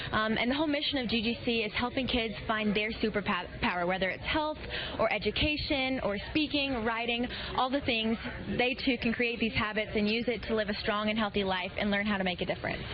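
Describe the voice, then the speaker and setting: Over music in the background, a woman with a slight Southern US accent talks at a fairly quick pace, her fairly high voice showing ordinary pitch variation and very even loudness. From Alabama. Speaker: pageant titleholder. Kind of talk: live TV interview.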